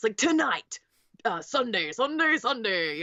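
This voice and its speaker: A female-sounding put-on character voice, fairly high-pitched, swinging very widely in pitch at a fairly slow pace. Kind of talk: hyped commercial announcer. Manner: loud, fake, exaggerated.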